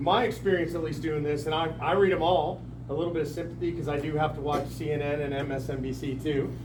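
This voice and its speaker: A man talks at a fairly quick pace in an animated tone, with audible room echo and noticeable background noise. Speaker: political activist speaker. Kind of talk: town hall speech. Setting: packed meeting room with audience.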